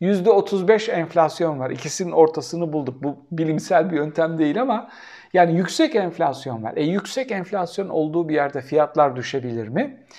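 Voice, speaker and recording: The speech moves at a moderate pace with hardly any pauses. Its intonation is lively. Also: man, fairly high pitch for a man. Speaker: political commentator. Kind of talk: solo commentary answering viewer questions. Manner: animated.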